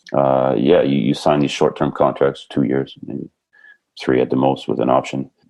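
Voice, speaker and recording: A moderate pace with a slight French accent. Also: man. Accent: slight French tinge. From Canada, British Columbia. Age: 50s. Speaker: basketball coach. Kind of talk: podcast interview.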